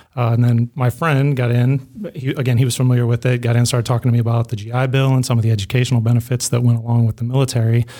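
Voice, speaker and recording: Speaking very fast with an American accent, a man has a dark, mellow, somewhat breathy tone, very even loudness and monotone, flat intonation. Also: medium pitch for a man. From US Midwest. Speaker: police sergeant and Air Force veteran. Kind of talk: interview.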